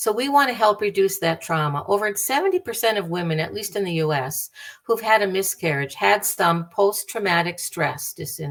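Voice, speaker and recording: A woman speaks in a normal speaking voice with an American accent. Her pace is moderate and her intonation lively. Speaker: bereavement speaker, bereaved parent. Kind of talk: lecture.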